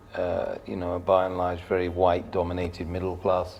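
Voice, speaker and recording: In a southern English accent, a man speaks with a very deep, low pitch and a somewhat breathy voice, with audible room echo. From southern England, Surrey. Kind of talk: podcast interview.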